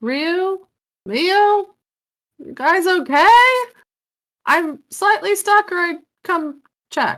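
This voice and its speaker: A woman uses a squeaky put-on character voice at an extremely high pitch. She speaks very slowly, with long, frequent pauses and big swings in loudness. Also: lively intonation. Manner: raised voice, calling out.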